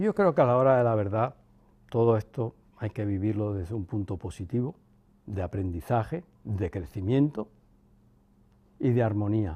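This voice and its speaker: The voice has a dark, mellow tone and ordinary pitch variation at a moderate pace. Long, frequent pauses are frequent throughout. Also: man, fairly low pitch for a man. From Cuba. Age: 60s. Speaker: son of a former head of state. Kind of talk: interview. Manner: reflective.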